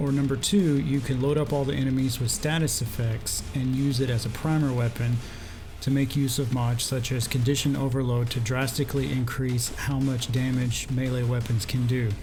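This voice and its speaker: A soft-spoken man talks in a flat, monotone way at a very even loudness. Audible room echo surrounds him, with music playing in the background. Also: medium pitch for a man, moderate pace. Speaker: gaming youtuber. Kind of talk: scripted narration.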